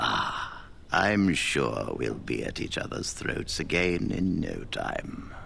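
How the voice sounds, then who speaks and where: A man performs a put-on character voice very slowly while clear background noise plays underneath. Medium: video game. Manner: dignified, wry.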